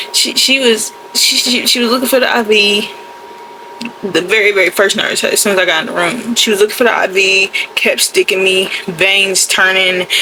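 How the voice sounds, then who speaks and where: A woman with a medium pitch speaks in an animated tone against noticeable background noise. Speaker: lifestyle vlogger. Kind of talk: casual vlog storytelling. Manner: fast.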